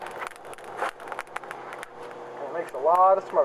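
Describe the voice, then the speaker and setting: A man's voice against noticeable background noise. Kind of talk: casual outdoor demonstration to camera. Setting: outdoors.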